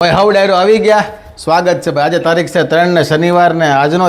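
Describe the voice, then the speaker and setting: A man is speaking. His voice sits high in pitch. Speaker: family vlogger. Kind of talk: casual vlog narration. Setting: outdoors.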